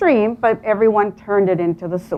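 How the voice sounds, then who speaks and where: A woman with a Spanish accent speaks at a moderate pace, with a fairly high pitch and ordinary pitch variation. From Colombia, Medellin. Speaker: real estate agent. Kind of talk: motivational talk.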